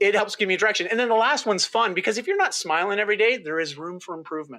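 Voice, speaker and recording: With a Canadian accent, the speaker talks at a very fast pace in a raised, projected voice, bright and sharp in tone, animated, with ordinary pitch variation. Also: man, high pitch for a man. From rural Ontario, Canada. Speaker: health and lifestyle coach. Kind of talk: interview.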